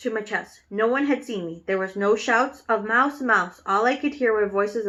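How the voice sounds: The pitch shifts in an ordinary way. It comes in a natural reading voice.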